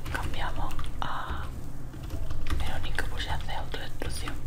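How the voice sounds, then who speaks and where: Against loud background noise, a woman talks at a fairly slow pace. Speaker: gaming YouTuber. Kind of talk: ASMR let's play commentary. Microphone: studio mic.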